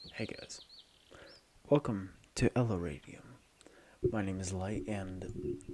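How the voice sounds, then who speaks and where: A somewhat breathy voice at a fairly slow pace, with ordinary pitch variation. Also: man. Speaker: YouTuber explaining robot builds. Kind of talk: tutorial.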